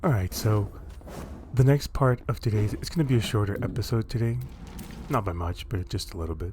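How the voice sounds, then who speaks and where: A man with a fairly low pitch and a dark, mellow, somewhat breathy voice speaks at a fairly quick pace in a relaxed tone with lively intonation, leaving long, frequent pauses. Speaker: gaming YouTuber. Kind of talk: gameplay commentary. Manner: relaxed, casual.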